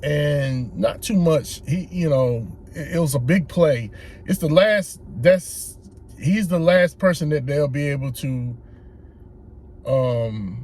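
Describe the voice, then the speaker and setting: Somewhat breathy, a man with an American accent talks very slowly at a fairly high pitch, with lively intonation. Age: 60s. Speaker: political commentator. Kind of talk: casual monologue. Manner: halting.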